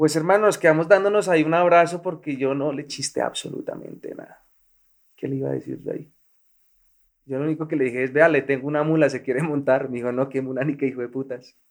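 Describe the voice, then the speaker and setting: The speech races along at a very fast pace, its pitch varying in an ordinary way. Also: man, fairly high pitch for a man. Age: 30s. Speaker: former guerrilla fighter. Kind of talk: testimony.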